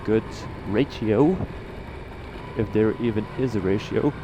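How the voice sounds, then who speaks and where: A man with a Dutch accent speaks at a very slow pace, with ordinary pitch variation. Noticeable background noise is present. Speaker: motovlogger. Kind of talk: casual vlog monologue while riding. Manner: halting, many fillers.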